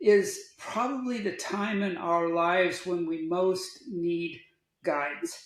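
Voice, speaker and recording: With audible room echo around him, a man speaks at a high pitch in an American accent. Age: 70s. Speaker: outdoor adventurer and sustainability advocate. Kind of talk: podcast interview.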